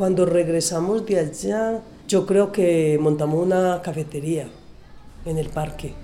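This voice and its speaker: A woman speaks at a fairly slow pace in a fairly low pitch, with audible room echo around her voice. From Colombia, Medellín area. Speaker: garment workshop owner. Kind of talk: interview testimony.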